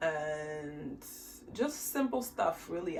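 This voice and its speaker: A woman speaks with very wide pitch swings over music in the background. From Haiti. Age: 20s. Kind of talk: casual talk to camera.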